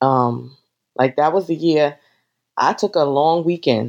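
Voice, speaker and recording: A woman with a New York accent and a very deep, low voice speaks at a fairly slow pace with ordinary pitch variation. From New York City (the Bronx). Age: 50s. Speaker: travel business owner. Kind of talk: interview.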